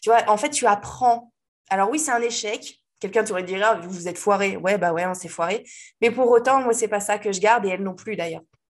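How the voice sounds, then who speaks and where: Against a quiet background, a woman uses a normal speaking voice at medium pitch, talking at a fairly quick pace with ordinary pitch variation. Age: 30s. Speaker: web designer and WordPress trainer. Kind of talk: casual interview chat.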